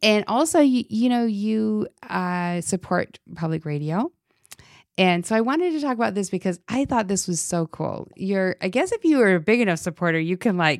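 A woman with a plain, everyday voice speaks in an American accent, with lively intonation at a moderate pace. The recording is very clean, with a silent background and a dry, close sound with no echo. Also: medium pitch for a woman. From Utah. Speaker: church ministry director and podcast host. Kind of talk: casual faith conversation.

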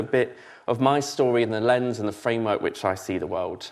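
A man with a southern English accent speaks at a medium pitch. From southern England (Basingstoke, Hampshire). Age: 30s. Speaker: church learning and development lead, former student pastor. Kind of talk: sermon.

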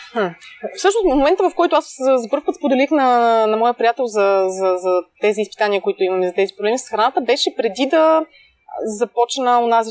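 At a fairly quick pace, the delivery has lively intonation. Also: woman, dry, close sound with no echo. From Bulgaria, Pleven. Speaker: food blogger and entrepreneur. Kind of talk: casual interview. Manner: hesitant, many fillers.

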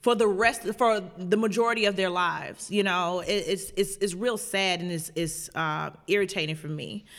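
A woman's voice at medium pitch and a moderate pace, with ordinary pitch variation, a plain, everyday voice, on a very clean recording with a silent background. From Chicago South Side. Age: 30s. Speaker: activist pastor. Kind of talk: interview conversation.

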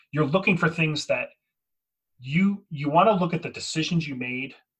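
A man with a plain, everyday voice, ordinary pitch variation and a moderate pace. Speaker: podcast host. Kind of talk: casual podcast chat about tabletop wargaming strategy.

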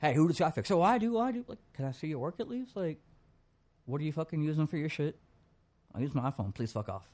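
An animated man, fairly high-pitched, talking very fast with very wide pitch swings and long, frequent pauses, on a very clean recording with a silent background. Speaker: music promoter. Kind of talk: casual chat.

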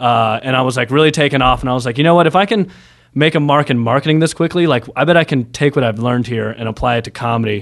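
A man's voice at medium pitch, with ordinary pitch variation and a very fast pace. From Nashville, Tennessee. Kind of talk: casual chat. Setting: studio.

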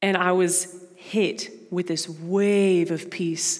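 A woman speaks with an American accent. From Brazil and Dallas, Texas (bicultural). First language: Portuguese. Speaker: missions mobilizer, guest speaker at church. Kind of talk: sermon. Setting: church with congregation. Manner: casual, filler-heavy.

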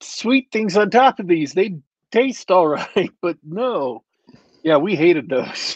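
Speaking at a very slow pace, a man with a high pitch makes very wide pitch swings in a dry, close sound with no echo. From Germany. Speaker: podcast co-host. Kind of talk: casual chat.

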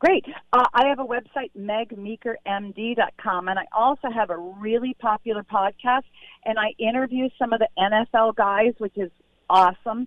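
A woman talks in a normal speaking voice at a moderate pace, with ordinary pitch variation. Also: fairly high pitch for a woman. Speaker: pediatrician and author. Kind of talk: interview about her book.

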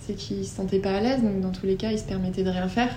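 A woman with a medium pitch and fairly even intonation speaks amid noticeable background noise and audible room echo. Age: 20s. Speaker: dog owner. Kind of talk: casual interview testimony.

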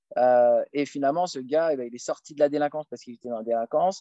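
At a fairly quick pace, a man with a fairly high voice and a dark, mellow tone speaks with ordinary pitch variation in a dry, close sound with no echo. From France, Paris suburbs. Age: 30s. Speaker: lecturer on Islam. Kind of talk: casual Q&A interview. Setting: outdoors, countryside.

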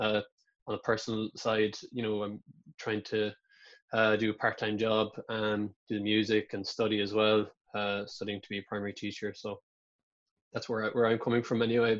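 In a Kerry accent, a man with a fairly low pitch talks at a moderate pace in a monotone, flat intonation, with long, frequent pauses. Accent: Irish (Kerry). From Ireland, County Kerry. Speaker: musician. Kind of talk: casual interview.

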